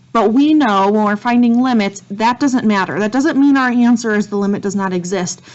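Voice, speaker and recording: A woman's plain, everyday voice at a moderate pace, with ordinary pitch variation. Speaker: math teacher. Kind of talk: lecture.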